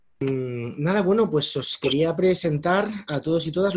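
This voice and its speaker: A man speaks in a plain, everyday voice. His intonation is lively and his pace fairly slow. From Spain. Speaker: moderator. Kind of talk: introduction of a speaker. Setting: video call.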